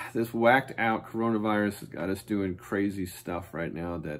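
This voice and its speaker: The man talks at a moderate pace, and his pitch moves in an ordinary way. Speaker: school PE teacher. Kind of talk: casual instructional chat to students. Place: office. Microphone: phone near.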